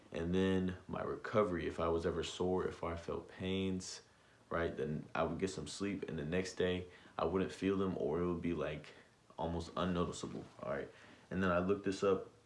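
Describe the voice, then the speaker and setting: Audible room echo surrounds the voice. The intonation is monotone and flat. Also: man, very deep, low pitch for a man. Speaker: vlogger giving self-improvement tips. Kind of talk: casual vlog monologue. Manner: fast.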